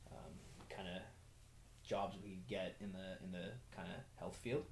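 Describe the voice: Fairly even intonation with vocal fry. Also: man.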